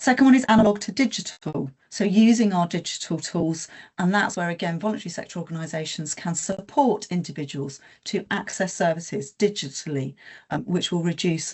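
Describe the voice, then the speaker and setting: Somewhat breathy, a woman of medium pitch speaks at a moderate pace with lively intonation. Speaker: health sector presenter. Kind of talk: webinar presentation. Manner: hesitant, many fillers.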